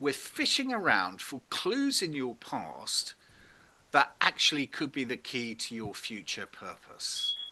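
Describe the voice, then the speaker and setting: A man speaks with a British accent. His pace is fairly slow. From Britain. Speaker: purpose workshop facilitator. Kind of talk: interactive online workshop.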